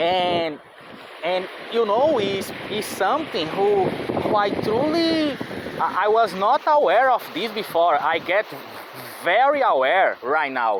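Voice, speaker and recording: Someone with a non-native accent speaks very slowly with very wide pitch swings, over noticeable background noise. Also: man. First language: not English. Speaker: vlogger. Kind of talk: casual monologue. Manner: halting, many fillers.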